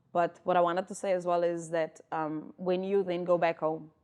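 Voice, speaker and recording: In a South African accent, a woman talks at a moderate pace with fairly even intonation, a fairly low pitch, and a dark, mellow tone. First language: Afrikaans. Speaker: podcast co-host. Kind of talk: casual chat.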